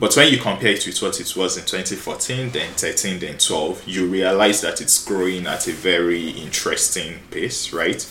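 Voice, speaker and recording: A man talks at a moderate pace with hardly any pauses, amid noticeable background noise and audible room echo. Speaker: podcast host, tech company co-founder. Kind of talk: casual chat.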